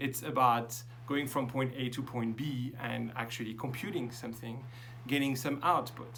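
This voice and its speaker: A man with a French accent talks at a fairly slow pace, medium in pitch. His intonation is fairly even, and audible room echo surrounds the voice. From France. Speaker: professor. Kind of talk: lecture. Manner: hesitant, many fillers.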